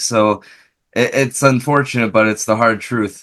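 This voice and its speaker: Here is a man with an unremarkable speaking voice. His pitch sits at a medium level with ordinary variation. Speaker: interviewer, podcast host. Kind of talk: casual interview.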